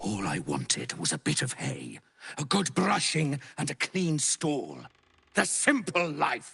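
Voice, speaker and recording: A man puts on a character voice, playful and theatrical, at a fairly high pitch and a fairly slow pace. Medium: video game. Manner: playful, theatrical.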